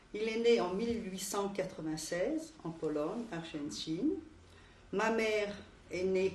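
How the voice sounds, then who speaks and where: The speech is fairly slow, with lively intonation. Audible room echo surrounds it. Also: woman. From France, Paris area (Montreuil). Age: 60s. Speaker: Holocaust survivor interviewee. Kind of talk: oral history interview. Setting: recorded interview.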